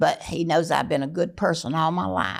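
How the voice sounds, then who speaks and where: Speaking with a Southern US accent, a woman uses a fairly low pitch and vocal fry. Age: 80s+. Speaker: family matriarch. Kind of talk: casual chat.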